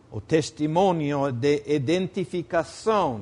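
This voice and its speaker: Speaking at a very slow pace with a non-native accent, a man with a fairly high pitch uses lively intonation. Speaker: preacher. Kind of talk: sermon.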